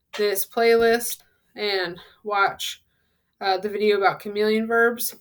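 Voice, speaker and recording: This woman has a medium pitch. Her pace is moderate. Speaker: Spanish teacher. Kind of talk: tutorial.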